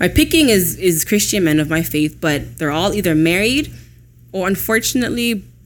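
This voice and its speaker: At a moderate pace, a woman speaks with fairly low pitch, very wide pitch swings and vocal fry. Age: 20s. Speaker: podcast co-host. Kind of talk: casual chat.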